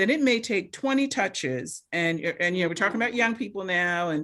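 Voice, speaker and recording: Speaking at a fairly quick pace, a woman with a medium-pitched voice sounds animated, her intonation lively. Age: 60s. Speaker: medical doctor panelist. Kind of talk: town hall panel discussion.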